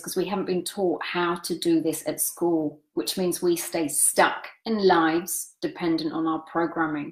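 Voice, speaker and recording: A woman talks at a moderate pace in a fairly low pitch. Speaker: meditation coach. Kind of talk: lecture. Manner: speeds up when demonstrating excitement.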